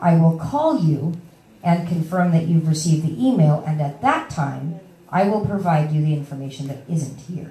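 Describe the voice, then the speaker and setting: Ordinary pitch variation comes through with audible room echo and noticeable background noise. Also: woman, very deep, low pitch for a woman. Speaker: workshop presenter sharing housing search experience. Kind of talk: workshop talk. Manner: fast.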